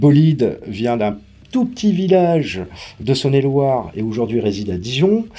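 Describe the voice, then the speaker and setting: The tone is dark and mellow, and the pitch swings very widely. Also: man, medium pitch for a man, moderate pace. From Paris, France. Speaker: event organizer. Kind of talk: interview.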